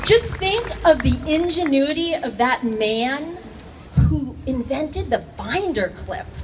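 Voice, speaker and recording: A woman speaks at a very slow pace with a high pitch and very wide pitch swings. Noticeable background noise runs underneath. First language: not English. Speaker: high school teacher. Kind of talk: rally speech.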